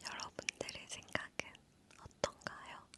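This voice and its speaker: Against noticeable background noise, a woman whispers in a relaxed tone. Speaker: ASMR creator. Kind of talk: talking ASMR, casual chat about balance-game questions. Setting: studio. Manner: whispered, soft-spoken, relaxed.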